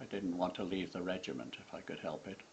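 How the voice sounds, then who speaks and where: A man talks in a very deep, low pitch over noticeable background noise. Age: 80s+. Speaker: war veteran. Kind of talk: memoir reading.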